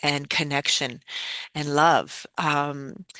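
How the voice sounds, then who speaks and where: In a dry, close sound with no echo, a woman speaks very slowly with a very deep, low pitch and a bright, sharp tone. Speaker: breathwork facilitator. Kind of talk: spiritual community talk. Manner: halting, many fillers.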